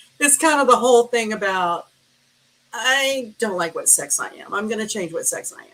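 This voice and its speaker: In an American accent, a woman talks at a moderate pace with a fairly high pitch, a bright, sharp tone and lively intonation. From US South. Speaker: astrologer. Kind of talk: casual interview chat.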